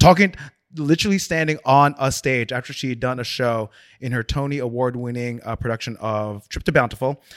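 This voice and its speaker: A plain, everyday voice with an American accent, ordinary pitch variation and a fairly quick pace, in a very clean recording with a silent background. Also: man, medium pitch for a man. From South Orange, New Jersey. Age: 40s. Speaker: designer. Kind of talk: casual chat.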